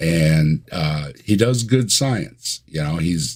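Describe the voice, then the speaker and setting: In a Michigan accent, a man with a very deep, low pitch speaks with lively intonation. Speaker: atheist YouTuber. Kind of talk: casual chat.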